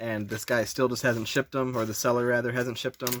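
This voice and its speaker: At a very fast pace, a man speaks in a monotone, flat intonation. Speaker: guitar controller modder. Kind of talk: tutorial. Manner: casual, filler-heavy.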